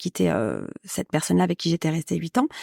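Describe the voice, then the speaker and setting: The woman's tone is dark and mellow. The sound is dry and close with no echo, on a very clean recording with a silent background. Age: 40s. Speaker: podcast guest sharing love experience. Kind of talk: casual interview chat. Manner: hesitant, many fillers.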